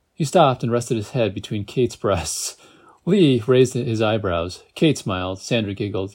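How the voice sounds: Natural, reading-style delivery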